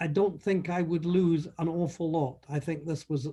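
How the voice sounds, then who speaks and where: Speaking with a Scottish accent, a man uses a dark, mellow tone, fairly even intonation and a fairly slow pace. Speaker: conference delegate. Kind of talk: testimonial.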